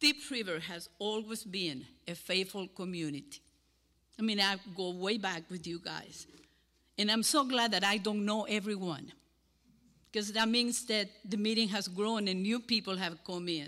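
A woman in a Cuban accent, bright and sharp in tone, at a moderate pace. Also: medium pitch for a woman, ordinary pitch variation. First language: Spanish.

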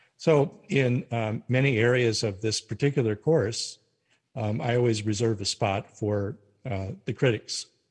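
A man talks fairly slowly in a somewhat breathy voice. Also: medium pitch for a man, ordinary pitch variation. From North Dakota, US. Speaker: retired religion professor. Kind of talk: interview.

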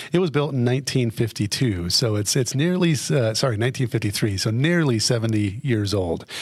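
A man with an American accent speaks at a fairly quick pace and medium pitch, somewhat breathy, with lively intonation. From Colorado, Fremont County. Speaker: city government official. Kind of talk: interview. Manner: many fillers, hesitant.

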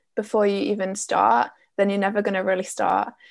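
Speaking at a fairly quick pace, a woman with an Essex accent has a medium pitch. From Essex, England. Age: 20s. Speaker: business coach. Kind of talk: interview.

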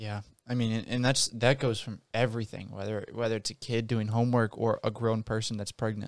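In a very clean recording with a silent background, a man with an American accent speaks fairly quickly in a monotone, flat way. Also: medium pitch for a man. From rural US countryside. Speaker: podcast co-host. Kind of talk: casual chat.

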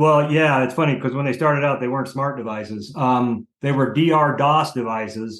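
Delivered at a moderate pace with hardly any pauses, a normal speaking voice holds a fairly even intonation. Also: man, medium pitch for a man. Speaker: industry consultant. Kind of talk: interview discussion, casual professional.

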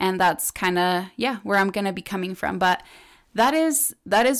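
The speech moves at a moderate pace. The recording is very clean, with a silent background. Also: woman. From Ecuador. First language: Spanish. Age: 20s. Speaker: podcast host. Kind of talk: casual solo podcast chat. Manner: animated.

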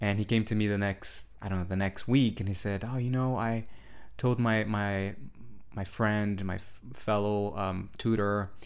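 A man speaks at a fairly slow pace with a Portuguese accent. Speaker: spiritual podcast host and meditation teacher. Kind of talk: solo podcast monologue. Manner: hesitant, with fillers and restarts.

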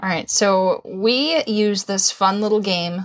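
An ordinary speaking voice from a woman at a medium pitch, at a fairly slow pace, on a very clean recording with a silent background. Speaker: podcast co-host.

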